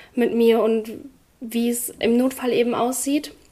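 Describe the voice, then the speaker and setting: A woman speaks at a high pitch with fairly even intonation. Noticeable background noise is audible. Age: 20s. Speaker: trainee in hospital administration with HAE. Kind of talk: interview testimony.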